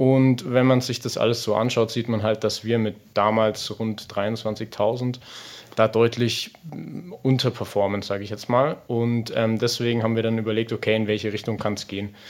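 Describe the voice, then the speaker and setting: Moderate in pace, a man speaks at medium pitch. His intonation is monotone and flat. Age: 20s. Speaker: football club membership manager. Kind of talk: interview. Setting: outdoors by a pond. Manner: hesitant, many filler sounds.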